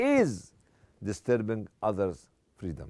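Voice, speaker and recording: A man with an Egyptian accent and a dark, mellow tone. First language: Arabic. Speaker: Islamic speaker. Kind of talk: lecture.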